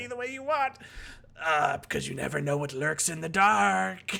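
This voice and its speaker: Putting on a character voice, a man talks at a moderate pace with a fairly high pitch and very wide pitch swings. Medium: actual play. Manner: hammy, playfully ominous.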